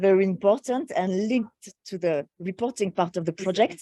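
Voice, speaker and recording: In a French accent, a woman speaks at a medium pitch with ordinary pitch variation. Her tone is dark and mellow, and the sound is dry and close with no echo. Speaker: program coordinator. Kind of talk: online meeting discussion. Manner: halting.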